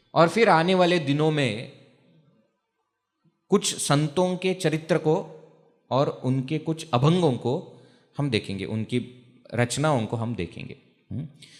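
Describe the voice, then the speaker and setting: The speaker, with a Marathi accent, uses lively intonation and leaves long, frequent pauses. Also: man, fairly high pitch for a man. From Maharashtra, India. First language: Marathi (speaking Hindi). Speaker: spiritual teacher, brahmachari monk. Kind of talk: religious discourse. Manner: conversational, asks audience questions.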